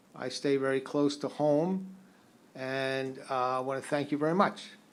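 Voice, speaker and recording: There is audible room echo as a man with a fairly high voice speaks at a moderate pace, his intonation fairly even. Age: 70s. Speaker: retiring county attorney. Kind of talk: farewell remarks. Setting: county commissioners court meeting. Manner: halting.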